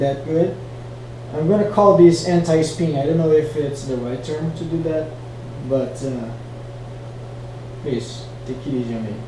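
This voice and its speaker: A man's fairly high voice with lively intonation at a moderate pace, amid noticeable background noise and audible room echo. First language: not English. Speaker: flow arts hobbyist teaching tricks. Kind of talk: tutorial. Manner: casual, hesitant with fillers. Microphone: poor quality mic.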